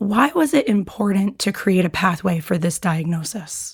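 Speaking at a moderate pace, a woman uses lively intonation at a medium pitch, with vocal fry and a slightly husky edge.

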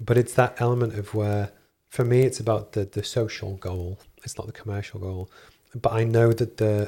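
A man's fairly low, somewhat breathy voice with a dark, mellow tone, monotone and flat, at a fairly quick pace, in a very clean recording with a silent background. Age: 40s. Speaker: engineer and business founder. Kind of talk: interview.

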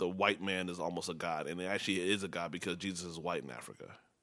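A man with a Chicago accent talks very fast in a very deep, low pitch and a bright, sharp tone, in a very clean recording with a silent background. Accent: Chicago American English. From Chicago area, Nigerian household. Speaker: startup founder. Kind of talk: casual chat.

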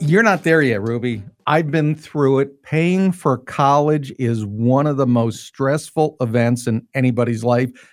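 A man speaks in a plain, everyday voice at medium pitch and a fairly slow pace, with ordinary pitch variation and hardly any pauses. His loudness stays very even, on a very clean recording with a silent background. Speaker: radio host. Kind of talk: radio talk show patter. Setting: radio studio. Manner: brisk, chatty, jokey.

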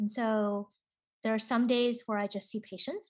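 A woman's fairly high-pitched voice with an American accent over a quiet background. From US Pacific Northwest, Seattle. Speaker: radiation oncologist. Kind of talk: interview. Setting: video call.

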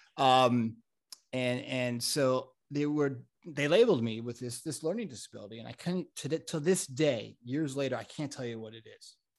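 Medium-pitched male speech with an American accent, at a moderate pace with ordinary pitch variation and big swings in loudness, against a quiet background. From South Florida and Connecticut. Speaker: mental health consultant. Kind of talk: casual interview chat.

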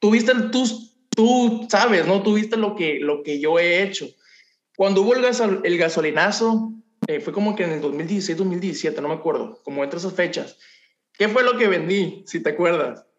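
With a Mexican accent, a man speaks at a moderate pace in a high pitch, and audible room echo surrounds his voice. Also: ordinary pitch variation. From Mexico, Ciudad del Carmen, Campeche. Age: 20s. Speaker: young entrepreneur, cleaning business owner. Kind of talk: interview testimony.

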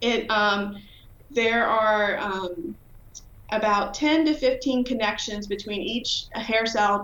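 This woman has an ordinary speaking voice, fairly high in pitch, with an American accent and fairly even intonation. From Virginia. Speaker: professor of pharmacology, hearing researcher. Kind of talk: interview.

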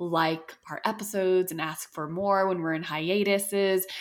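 This is an ordinary speaking voice at a moderate pace. The intonation stays fairly even. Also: woman. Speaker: podcast host. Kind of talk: casual chat.

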